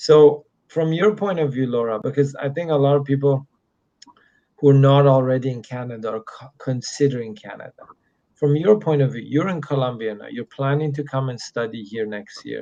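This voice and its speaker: Ordinary pitch variation runs through a man's dark, mellow tone. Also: fairly high pitch for a man, big swings in loudness. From Middle East. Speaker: immigration consultant. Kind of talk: live Q&A stream. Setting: hotel room. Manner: speaking slower and quieter.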